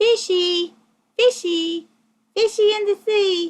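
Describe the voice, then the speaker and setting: A put-on character voice, squeaky and at a very slow pace. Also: woman, extremely high pitch for a woman. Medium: read story. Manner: meek, reluctant.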